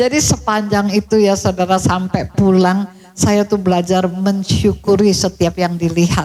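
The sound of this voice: A woman speaks with a slightly mellow tone. Her pace is fairly slow, with few pauses. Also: medium pitch for a woman, fairly even intonation.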